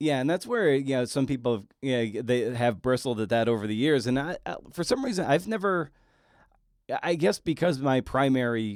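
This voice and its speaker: A man with a plain, everyday voice, medium pitch and lively intonation at a moderate pace, in a very clean recording over a silent background. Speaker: podcast host. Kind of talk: interview question. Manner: conversational, casual.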